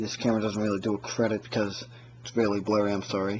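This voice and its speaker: A man mumbles in a fairly low voice. His intonation is flat and monotone. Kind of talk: casual gear review to camera. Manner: mumbling, hesitant.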